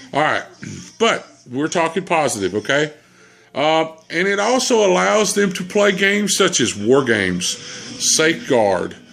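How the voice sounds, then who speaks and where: Over background music, a man with a Southern US accent speaks at a fairly slow pace with long, frequent pauses and very wide pitch swings. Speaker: gamer. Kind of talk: casual chat.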